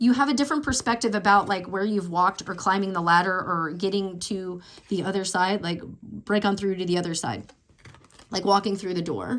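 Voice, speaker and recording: Here a woman talks at a fairly quick pace. Her pitch sits in the middle and varies in an ordinary way. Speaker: tarot reader. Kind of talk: tarot reading. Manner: fast; casual, filler-heavy.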